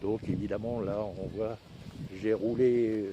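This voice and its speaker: Against noticeable background noise, a man speaks in a fairly low pitch with monotone, flat intonation. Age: 70s. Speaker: e-bike vlogger. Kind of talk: casual product review. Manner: halting, many fillers.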